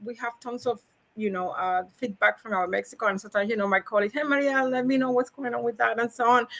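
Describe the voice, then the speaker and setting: A woman's high, bright, sharp voice in a Cuban accent. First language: Spanish. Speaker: logistics professional. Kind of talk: podcast interview. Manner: animated, high energy; halting, repetitive.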